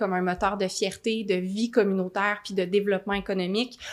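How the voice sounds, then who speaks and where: In a very clean recording with a silent background, a woman of medium pitch speaks at a fairly quick pace with monotone, flat intonation. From Quebec, Gatineau (Outaouais). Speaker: mayor and mayoral candidate. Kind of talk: political Q&A answer. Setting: studio.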